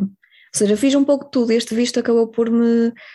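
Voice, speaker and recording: The tone is dark and mellow, the pace fairly quick, and the pitch variation ordinary. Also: woman. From northern Portugal, Ponte de Lima. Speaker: marine biology graduate, former working-holiday traveller. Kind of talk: casual interview.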